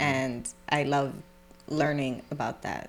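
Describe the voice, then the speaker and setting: With music in the background, a woman with a New York accent speaks in a very deep, low pitch. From New York City (Brooklyn). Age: 20s. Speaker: hairstylist. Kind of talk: casual interview chat.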